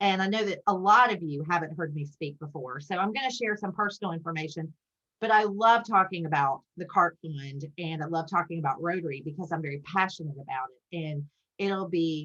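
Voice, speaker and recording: A woman with a Southern US accent talks at a fairly quick pace. Her fairly low voice has a bright, sharp tone and ordinary pitch variation. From US South, South Carolina (Spartanburg). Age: 50s. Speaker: Rotary leader, guest speaker. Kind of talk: club talk via video call. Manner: fast.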